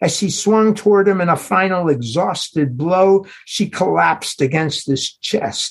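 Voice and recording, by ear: A natural voice reading aloud.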